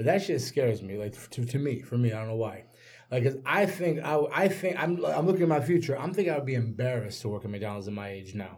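A man with a medium pitch speaks very fast and somewhat breathily, his pitch swinging very widely over a very clean recording with a silent background. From Nigeria. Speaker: podcast co-host. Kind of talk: casual chat. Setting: studio.

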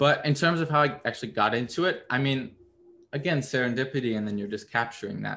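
Bright and sharp in tone, a man of medium pitch speaks at a very fast pace with ordinary pitch variation. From US Midwest, Missouri. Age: 20s. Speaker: photographer. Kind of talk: interview.

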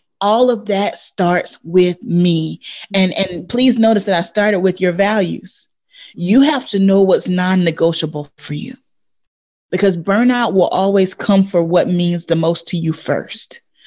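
A woman's normal speaking voice at medium pitch, fairly slow, with ordinary pitch variation over a quiet background. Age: 40s. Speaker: educator and coach.

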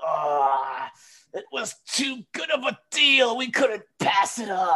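This is a put-on character voice at a fairly high pitch. It moves at a very slow pace.

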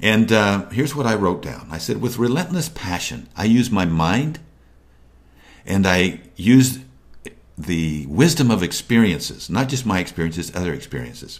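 A man talks at a moderate pace and fairly low pitch, with vocal fry and very wide pitch swings. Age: 60s. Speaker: motivational video host. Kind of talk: motivational talk to camera.

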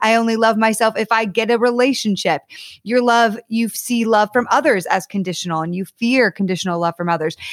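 Talking at a fairly quick pace, a woman uses a plain, everyday voice with a fairly high pitch and ordinary pitch variation. The recording is very clean, with a silent background and a dry, close sound with no echo. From US Northeast (Connecticut). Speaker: author and dating coach. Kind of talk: podcast interview.

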